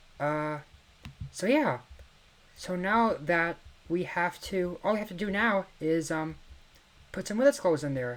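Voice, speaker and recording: A quiet woman's voice with lively intonation and long, frequent pauses. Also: fairly low pitch for a woman, fairly slow pace. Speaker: gaming video creator. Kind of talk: casual gameplay commentary. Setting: home at night, family asleep. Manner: quiet, hushed.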